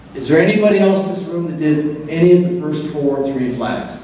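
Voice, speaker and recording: Noticeable background noise and audible room echo surround a man's voice. He has a fairly high pitch and lively intonation. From British Columbia, Canada. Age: 60s. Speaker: motorcycle event emcee. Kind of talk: banquet speech. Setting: banquet hall with audience.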